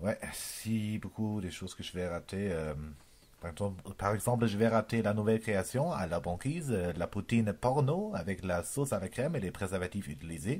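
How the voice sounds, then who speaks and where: With a German accent, a man talks at a moderate pace in a fairly low voice with lively intonation. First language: German (speaking French). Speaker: comedian. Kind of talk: improvised comedy monologue. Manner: halting, many hesitations.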